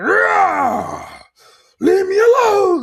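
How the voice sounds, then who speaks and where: A put-on character voice comes out loud and growling at an extremely high pitch. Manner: loud, forceful, growling.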